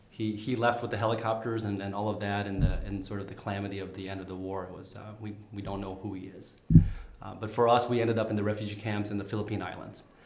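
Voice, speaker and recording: Over audible room echo, a man talks at a very fast pace and a fairly low pitch in a monotone, flat intonation, with big swings in loudness. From Vietnam, raised in St. Cloud, Minnesota from age nine. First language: Vietnamese. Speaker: candidate for county attorney. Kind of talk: interview. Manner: halting, many fillers and repeats.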